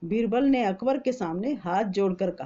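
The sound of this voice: At a moderate pace, a woman with a dark, mellow tone and medium pitch speaks with lively intonation.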